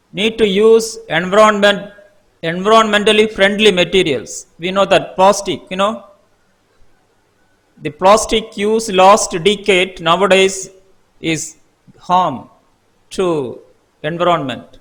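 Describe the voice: A man speaks in a high voice. His pace is slow. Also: ordinary pitch variation, fairly bright tone.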